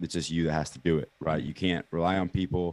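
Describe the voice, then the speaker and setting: A man with an American accent talks at a very fast pace. The background is quiet. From Kansas City, US Midwest. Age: 20s. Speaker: entrepreneur. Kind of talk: casual interview.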